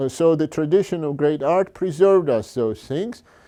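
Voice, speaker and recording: Against a quiet background, a man with a fairly high, dark, mellow voice speaks at a moderate pace with lively intonation. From Georgia (country). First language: Georgian. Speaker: fine artist. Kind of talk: talk. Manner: halting.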